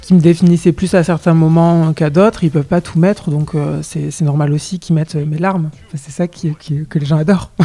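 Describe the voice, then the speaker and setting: Music plays behind a man whose fairly high voice stays monotone and flat as he speaks at a fairly quick pace with hardly any pauses. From southwest France, Lot-et-Garonne. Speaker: singer. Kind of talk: interview. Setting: radio interview. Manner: hesitant, many fillers and repetitions.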